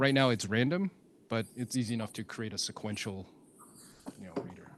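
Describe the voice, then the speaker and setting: The man's pitch is medium and varies in an ordinary way. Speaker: software developer advocate presenting a tool. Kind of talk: live technical demo with audience Q&A.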